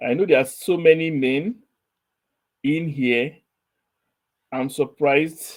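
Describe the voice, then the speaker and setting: Speaking at a very slow pace with long, frequent pauses, a man uses a fairly high pitch and ordinary pitch variation. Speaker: quiz show host. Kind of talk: online session test run. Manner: slow, deliberate.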